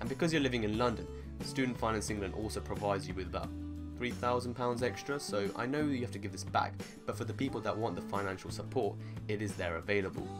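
Someone speaks at a very fast pace while clear music plays in the background. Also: man. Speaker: medical student vlogger. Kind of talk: casual vlog chat. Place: home room.

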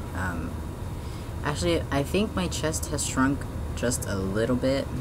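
There is noticeable noise in the background. A man talks at a fairly slow pace. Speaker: vlogger. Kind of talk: personal video diary update. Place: home room. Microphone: webcam.

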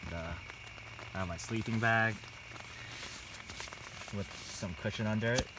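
Over clear background noise, a man speaks at a fairly slow pace in a fairly low pitch, with ordinary pitch variation.

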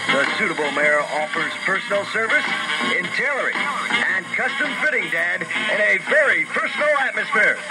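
Speech at a moderate pace plays over loud music in the background. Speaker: radio ad announcer. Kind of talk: radio commercial read. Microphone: old recording.

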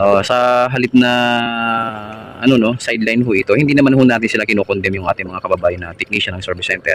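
Speaking very fast at a medium pitch, a man is recorded with a dry, close sound with no echo, though noticeable background noise is present. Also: ordinary pitch variation. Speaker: aircon technician vlogger. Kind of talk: on-site repair tutorial. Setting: outdoors at a house, hot sun. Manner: casual, with many fillers.

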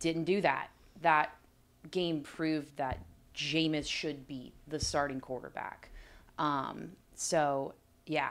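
In an American accent, a woman speaks at a very slow pace with very deep, low pitch, fairly even intonation and long, frequent pauses. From Florida, near Tampa; Florida. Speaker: NFL team reporter, former college athlete; NFL team reporter. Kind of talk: sports analysis discussion. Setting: studio. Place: studio. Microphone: studio mic.

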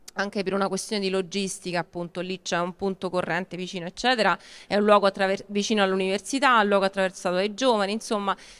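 A woman speaking at medium pitch. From Rome; Italy. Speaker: local government cultural official; event host introducing lecturers. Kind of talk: event introduction. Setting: outdoor market event. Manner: hesitant. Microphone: handheld.

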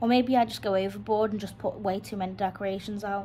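A woman's voice comes through somewhat breathy, with fairly even intonation. Light background noise sits behind it. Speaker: home vlogger. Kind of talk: casual vlog chat. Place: home room.

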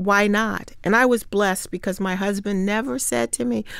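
At a moderate pace, a woman speaks in a Midwestern US accent. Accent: US Midwest. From Ohio, Hamilton. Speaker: state senator and former mayor. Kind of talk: interview.

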